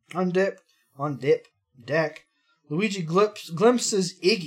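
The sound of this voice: Quiet background behind an unforced reading voice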